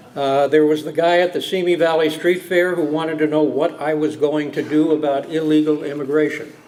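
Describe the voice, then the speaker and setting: Over noticeable background noise, a man with a fairly high pitch talks at a fairly quick pace in a flat, monotone intonation, with hardly any pauses. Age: 60s. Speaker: judge. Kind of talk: after-dinner speech. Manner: halting, frequent fillers.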